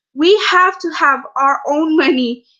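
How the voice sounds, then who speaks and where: A woman uses a raised, projected voice with a bright, sharp tone and ordinary pitch variation. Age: 20s. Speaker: network marketing member giving testimony. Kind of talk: testimony. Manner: halting, many fillers.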